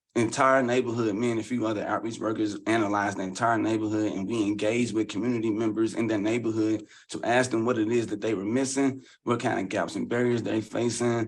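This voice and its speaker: A man with a medium-pitched voice speaks with a Southern US accent. He talks very fast in a flat monotone. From Louisville, Kentucky. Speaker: community leader and housing advocate. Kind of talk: podcast interview.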